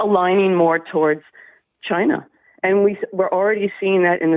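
A woman's monotone, flat delivery in a dry sound with no echo. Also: quiet background. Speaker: radio caller. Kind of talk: caller opinion on talk radio. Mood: concerned, earnest. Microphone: phone line.

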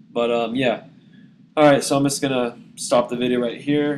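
A man talks at a fairly quick pace in a flat monotone, with noticeable background noise behind him. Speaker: YouTube app reviewer. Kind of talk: casual talk to camera.

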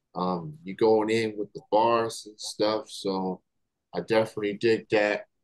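Against a quiet background, a man speaks at a fairly low pitch, fairly slowly, in a monotone, flat delivery. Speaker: interviewer host. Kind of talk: casual interview. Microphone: video call.

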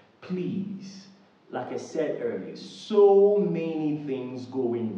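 Speaking at a very slow pace with very wide pitch swings, a man is heard amid audible room echo. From Nigeria. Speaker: YouTuber. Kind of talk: direct-to-camera appeal. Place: home room.

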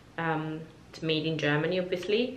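With audible room echo around her, a woman talks at a fairly low pitch. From Georgia (country). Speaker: beauty YouTuber. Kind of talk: product review vlog. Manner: hesitant, many fillers. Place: home room.

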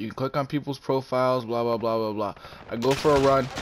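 Using an ordinary speaking voice, a man with a medium pitch talks at a fairly quick pace. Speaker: gaming YouTuber. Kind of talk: live gameplay commentary with an angry rant about YouTube. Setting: home recording while playing a game. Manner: irritated, ranting, casually profane; distracted, chatty, reacting to the game mid-sentence.

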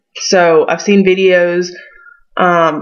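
A woman with a Southern US accent speaks at a fairly low pitch. Her intonation stays flat and monotone. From western North Carolina foothills. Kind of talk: casual talk to camera. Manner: hesitant, many fillers.

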